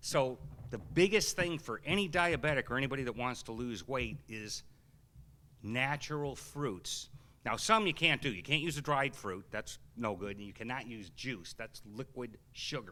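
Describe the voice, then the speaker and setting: On a very clean recording with a silent background, a man speaks in an animated, bright and sharp tone. His loudness swings widely. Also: medium pitch for a man, lively intonation. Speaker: health seminar speaker. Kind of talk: seminar Q&A talk. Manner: fast.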